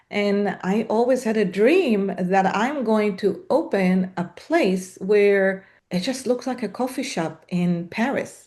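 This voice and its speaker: Speaking very slowly with hardly any pauses, a woman with a non-native accent has a dark, mellow tone, medium pitch and ordinary pitch variation over a quiet background. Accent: noticeable foreign. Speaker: salon business founder. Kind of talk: podcast interview. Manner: halting, many fillers.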